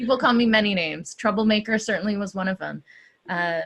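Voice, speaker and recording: On a very clean recording with a silent background, a woman speaks in an American accent. She has a plain, everyday voice at a medium pitch, with fairly even intonation. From US South, Georgia (Atlanta). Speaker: activist. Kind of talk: interview. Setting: stage with audience.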